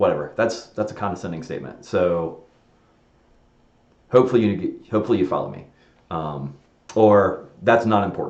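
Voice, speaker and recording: Against a quiet background with audible room echo, a man with a fairly low pitch and vocal fry speaks with lively intonation, big swings in loudness and long, frequent pauses. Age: 40s. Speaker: software designer live streaming; presenter. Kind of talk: casual live stream monologue. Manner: fast; rambling with fillers and restarts. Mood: reflective, candid.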